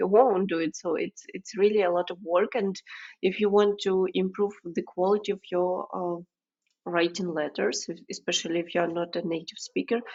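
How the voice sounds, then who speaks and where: A woman speaks with a non-native accent at a moderate pace. Her intonation is fairly even. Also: medium pitch for a woman. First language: not English. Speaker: podcast host. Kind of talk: podcast interview.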